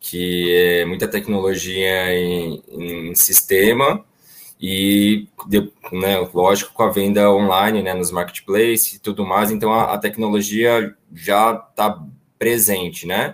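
Here a man speaks at a very slow pace. His pitch is fairly low. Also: fairly even intonation. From São Paulo. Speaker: auto parts business owner. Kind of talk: panel discussion.

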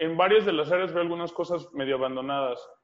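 A man's high-pitched voice with a Mexican accent. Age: 30s. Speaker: fitness coach and MMA fighter. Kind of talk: casual interview.

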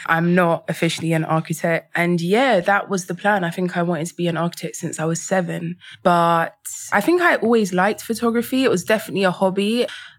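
A woman speaks with a fairly low pitch and ordinary pitch variation at a fairly quick pace. The recording is very clean, with a silent background. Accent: London. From England, London. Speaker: photographer. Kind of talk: casual chat.

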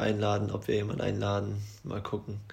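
A man talks at a fairly quick pace in a somewhat breathy, fairly low voice with a dark, mellow tone. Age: 20s. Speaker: podcast co-host. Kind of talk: casual chat.

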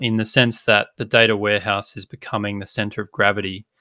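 The tone is bright and sharp, the intonation fairly even, and the pace fairly quick, in a dry, close sound with no echo and a very clean recording over a silent background. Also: man. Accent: Australian. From rural inland Australia. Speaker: tech startup co-founder. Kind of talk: interview.

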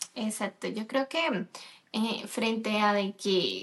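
A woman talks in an unremarkable speaking voice with fairly high pitch. Her intonation stays fairly even. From Colombia. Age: 30s. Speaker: podcast co-host, nutrition student. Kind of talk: casual chat.

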